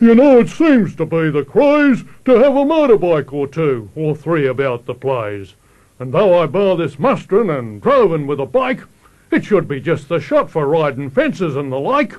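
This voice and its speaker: Putting on a gruff character voice, a man speaks at a fairly high pitch with very wide pitch swings at a moderate pace. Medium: solo performance. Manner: gruff, blunt.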